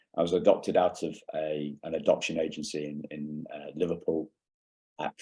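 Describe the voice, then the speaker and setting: The speech moves at a moderate pace. There is a slight English accent. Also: man. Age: 50s. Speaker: keynote speaker. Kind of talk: conference keynote talk. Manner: halting, many fillers.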